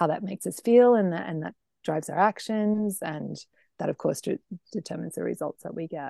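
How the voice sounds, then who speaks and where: A woman with an Australian accent talks at a fairly quick pace. The sound is dry and close, with no echo. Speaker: food blogger and health coach. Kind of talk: interview.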